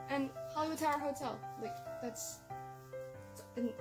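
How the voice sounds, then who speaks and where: Clear music plays in the background. A woman talks over it at a fairly quick pace. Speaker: vlogger. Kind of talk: casual unboxing haul chat. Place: home room.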